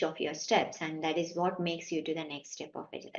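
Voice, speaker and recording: A woman speaks with a Kannada accent. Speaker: IT managing director. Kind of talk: interview answer.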